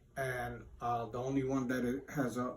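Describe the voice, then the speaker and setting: Heard with audible room echo, a man speaks at a medium pitch with an American accent. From Poland, then Cleveland, Ohio from age 13. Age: 60s. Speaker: interviewee, homeless man. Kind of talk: casual interview. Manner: halting.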